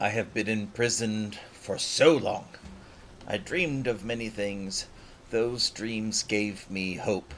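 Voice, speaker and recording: A man's strained, put-on character voice at a medium pitch, very slow, with clear background noise. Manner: tense, strained.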